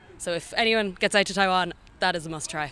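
A very fast-talking woman in a Dublin accent, fairly low in pitch, bright and sharp in tone, with fairly even intonation. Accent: Irish (Dublin). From Ireland, Dublin. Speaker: language student and amateur Gaelic player. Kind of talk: interview.

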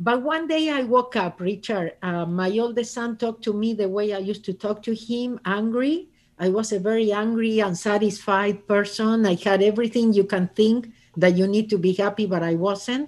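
A woman with a fairly high voice speaks in an Argentine accent. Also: ordinary pitch variation, moderate pace. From Argentina. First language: Spanish. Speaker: author and speaker. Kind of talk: casual interview.

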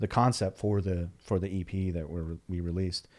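A man's ordinary speaking voice, fairly low in pitch and fairly quick in pace, in a very clean recording with a silent background. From Texas, Dallas. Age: 30s. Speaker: musician. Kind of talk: casual chat.

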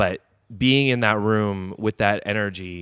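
A man's voice comes across dry and close, with no echo. The recording is very clean, with a silent background. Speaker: professional wrestler. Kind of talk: casual chat. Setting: wrestling training facility. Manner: animated.

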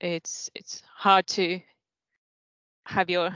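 In a Finnish accent, a woman speaks in a monotone with flat intonation. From Finland. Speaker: senior lecturer. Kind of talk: casual chat. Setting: video call.

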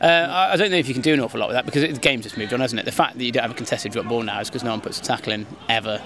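Over noticeable background noise, a man talks at a very fast pace with hardly any pauses, using a medium pitch and lively intonation. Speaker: podcast host. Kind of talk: casual banter.

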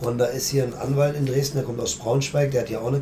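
A man talks in a medium pitch. Noticeable background noise and audible room echo surround him. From Germany, circus family. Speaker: circus director. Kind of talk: interview. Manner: fast.

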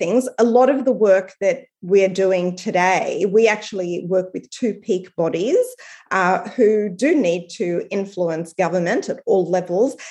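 A woman with an Australian accent, at a fairly slow pace, against a quiet background. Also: hardly any pauses. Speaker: strategy consultancy founder. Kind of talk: interview.

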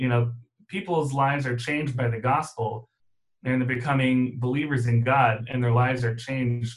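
This man's voice is medium in pitch and somewhat breathy. His intonation stays fairly even. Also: moderate pace. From Germany. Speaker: math teacher. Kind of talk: interview.

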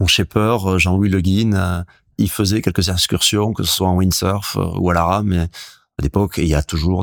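On a very clean recording with a silent background, a man with a very deep, low voice speaks at a fairly slow pace with ordinary pitch variation. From French Basque Country (Hendaye). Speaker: surfer and author. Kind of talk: interview. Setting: at guest's home.

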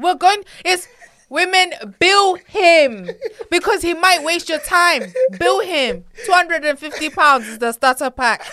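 With an extremely high pitch, a woman's raised, projected voice sounds animated, and her intonation is lively. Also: fairly slow pace. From United Kingdom, African heritage. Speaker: podcast guest. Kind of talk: casual chat. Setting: studio.

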